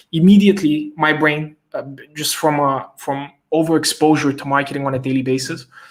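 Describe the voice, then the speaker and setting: This man has an unremarkable speaking voice, pitched fairly high. He talks at a moderate pace with fairly even intonation. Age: young. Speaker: growth hacking expert. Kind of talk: live stream interview. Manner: casual, lots of fillers.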